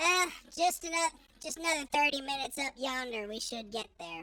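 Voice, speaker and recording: The voice is pitched high. It is a put-on character voice. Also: moderate pace. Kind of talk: cowboy talk. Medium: actual play. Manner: folksy.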